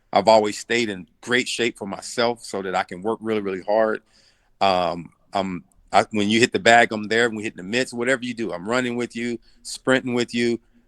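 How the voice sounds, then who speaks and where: Recorded dry and close with no echo over a quiet background, a man's medium-pitched voice shows big swings in loudness. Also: fairly even intonation. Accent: Southern US. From US South, Arkansas and Tennessee. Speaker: boxing coach. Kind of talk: interview.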